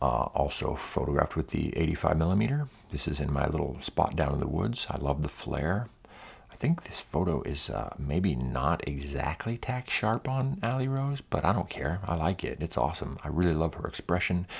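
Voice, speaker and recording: Quiet and relaxed, the voice moves at a moderate pace with vocal fry and very wide pitch swings. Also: man, very deep, low pitch for a man. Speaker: photographer. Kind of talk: casual vlog talk. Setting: indoors, early morning. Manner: quiet, keeping voice down; casual, relaxed.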